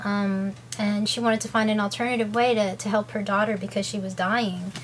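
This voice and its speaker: This woman's voice sits fairly high and sounds somewhat breathy. Her pitch varies in an ordinary way. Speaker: video blogger with ulcerative colitis. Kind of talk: casual vlog talk to camera. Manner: fast.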